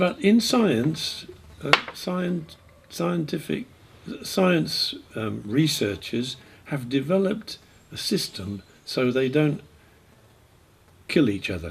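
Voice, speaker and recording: Noticeable background noise accompanies a man speaking very slowly, with long, frequent pauses. His voice is fairly high and swings very widely in pitch. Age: 70s. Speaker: Buddhist teacher. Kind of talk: talk with consecutive interpretation. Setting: retreat. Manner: halting; gets louder when emphatic.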